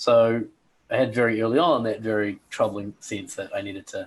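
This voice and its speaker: Someone talks at a moderate pace with a New Zealand accent. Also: man. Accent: New Zealand accent, noticeable. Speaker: personal coach, former airline pilot. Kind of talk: interview, life story. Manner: hesitant fillers.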